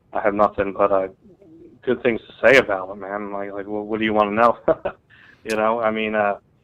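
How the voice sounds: A man's clear, smooth tone at a fairly low pitch, with an American accent, a moderate pace and little pitch movement.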